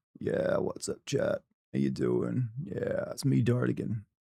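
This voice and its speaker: Using a put-on character voice, a man speaks creakily at a fairly slow pace. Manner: lazy, drawling.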